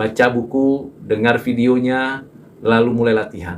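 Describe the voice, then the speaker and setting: Audible room echo trails the voice of a talking man. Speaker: preacher. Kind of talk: sermon.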